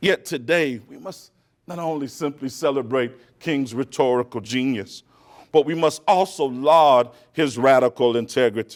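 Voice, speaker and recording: A man speaks at a moderate pace and medium pitch with ordinary pitch variation and big swings in loudness. It is a normal speaking voice on a very clean recording with a silent background. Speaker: keynote speaker. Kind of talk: speech. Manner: oratorical.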